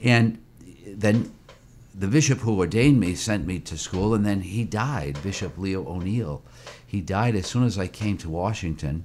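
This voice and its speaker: A man with a plain, everyday voice, an American accent, fairly low pitch, lively intonation and a moderate pace. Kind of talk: interview.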